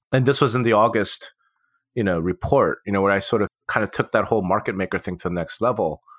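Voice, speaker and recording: The sound is dry and close, with no echo. A man talks at a fairly quick pace. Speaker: podcast co-host.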